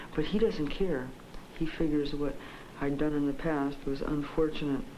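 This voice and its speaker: Against noticeable background noise, a woman with a very deep, low pitch talks at a moderate pace with ordinary pitch variation. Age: 20s. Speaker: psychiatric patient. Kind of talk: interview answer. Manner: clear, articulate standard English.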